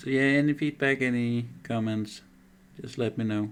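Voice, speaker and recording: A man with a Danish accent talks at a moderate pace with fairly even intonation. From Denmark. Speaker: miniature painter streamer. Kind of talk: casual live stream commentary. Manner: halting, many fillers.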